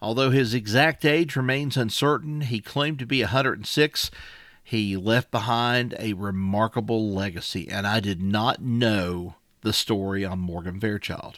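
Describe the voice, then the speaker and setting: A man's pitch varies in an ordinary way on a very clean recording with a silent background. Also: medium pitch for a man, moderate pace. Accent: Appalachian. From Wise County, Virginia (Appalachia). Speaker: podcast co-host. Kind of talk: casual chat about a story.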